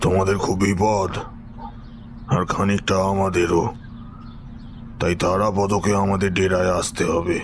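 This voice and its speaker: Through clear background noise, a man uses a put-on character voice with a very deep, low pitch, a calm tone and a fairly slow pace. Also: very even loudness. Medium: audio drama. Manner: terse, calm, commanding.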